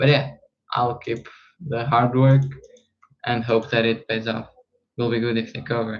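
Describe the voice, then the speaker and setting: A man with a non-native accent speaks in a monotone, flat intonation. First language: not English. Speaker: trading streamer. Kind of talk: casual live stream chat. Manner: halting, frequent fillers and repeats.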